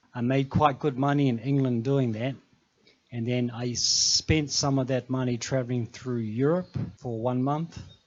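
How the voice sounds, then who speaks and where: Speaking with a New Zealand accent, a man talks at a moderate pace in a medium pitch with fairly even intonation. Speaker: mountain trekker and former safari guide. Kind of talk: talk show interview.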